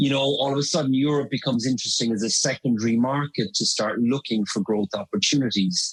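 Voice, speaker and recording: Very fast delivery in an Irish accent with hardly any pauses, very even loudness, ordinary pitch variation, and a dry, close sound with no echo. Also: man, medium pitch for a man. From Ireland. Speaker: marketing consultant. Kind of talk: podcast interview.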